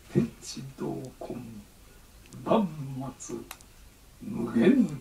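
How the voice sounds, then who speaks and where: A man's very slow speech at fairly high pitch, with lively intonation and light background noise. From Japan. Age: 80s+. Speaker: Zen abbot. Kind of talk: dharma talk. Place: church. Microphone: camera far.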